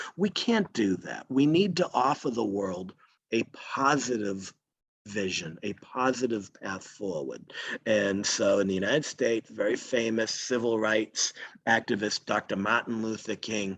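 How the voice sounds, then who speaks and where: A Boston accent at a fairly slow pace, with ordinary pitch variation. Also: man. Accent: Boston American. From Boston area, Massachusetts. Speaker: green chemistry scientist. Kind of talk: lecture.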